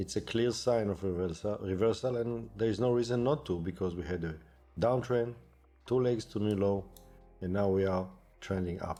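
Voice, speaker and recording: A man with a non-native accent at a fairly low pitch and moderate pace, ordinary pitch variation, music in the background. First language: not English. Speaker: day trader. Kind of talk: tutorial.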